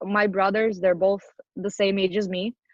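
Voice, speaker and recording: A woman talks at a moderate pace. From Ukraine, east (Horlivka area). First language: Ukrainian or Russian. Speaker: adoptee sharing life story. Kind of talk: interview testimony. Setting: podcast. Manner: casual, many fillers.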